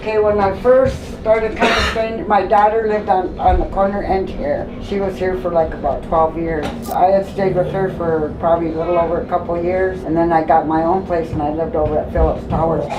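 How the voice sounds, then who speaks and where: A woman talks at a fairly quick pace with hardly any pauses, using a medium pitch and ordinary pitch variation. Audible room echo and noticeable background noise fill the recording. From Minnesota, Grand Portage Ojibwe. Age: 60s. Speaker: community elder. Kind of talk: street interview. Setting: in her home.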